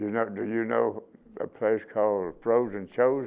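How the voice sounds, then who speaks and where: With music in the background, a man speaks at a fairly slow pace. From Alabama. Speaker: Korean War veteran. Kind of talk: interview answer, war storytelling.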